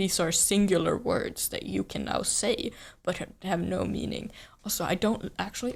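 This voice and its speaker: Speaking at a moderate pace, a woman talks with a Swedish accent. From Sweden. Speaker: streamer. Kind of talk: casual chat. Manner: halting.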